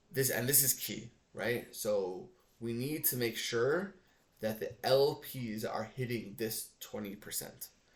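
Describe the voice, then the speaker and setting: At a very slow pace, a man's somewhat breathy, medium-pitched voice moves with ordinary pitch variation. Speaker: finance tutorial creator. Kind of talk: tutorial.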